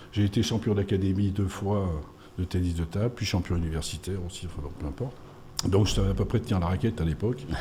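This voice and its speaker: The voice is somewhat breathy and dark and mellow in tone, moving at a very fast pace with ordinary pitch variation. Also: man, very deep, low pitch for a man. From France, Auvergne (Puy-de-Dôme). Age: 60s. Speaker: sports official. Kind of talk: radio interview. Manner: hesitant, many fillers.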